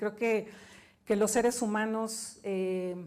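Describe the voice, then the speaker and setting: Fairly even intonation at a fairly slow pace. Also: woman. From Mexico. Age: 50s. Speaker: business executive and author. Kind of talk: keynote talk.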